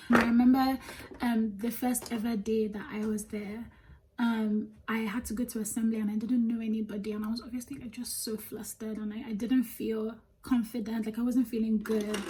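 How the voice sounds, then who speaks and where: A woman's fairly high, somewhat breathy voice with a dark, mellow tone, a Nigerian accent, monotone, flat intonation and a fairly quick pace. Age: 20s. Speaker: beauty vlogger. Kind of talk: casual chat while doing makeup. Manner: chatty, many fillers.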